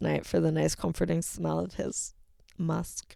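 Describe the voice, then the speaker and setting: Here a woman speaks with a New York accent. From Connecticut. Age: 30s. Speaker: livestreamer. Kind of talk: casual monologue. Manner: animated.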